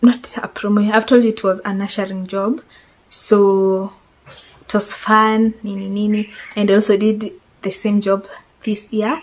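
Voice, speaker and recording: With a Kenyan accent, a woman talks at a fairly slow pace in a medium pitch, her intonation monotone and flat, with long, frequent pauses. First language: Swahili. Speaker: vlogger. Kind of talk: casual chat.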